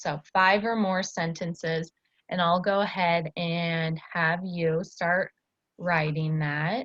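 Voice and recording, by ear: A woman speaks slowly with fairly even intonation. Her pitch is fairly low. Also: fairly bright tone.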